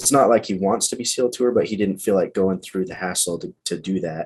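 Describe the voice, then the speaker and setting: His pitch is fairly low and his intonation fairly even as the man speaks. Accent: Western US. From Utah. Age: 30s. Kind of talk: interview answer.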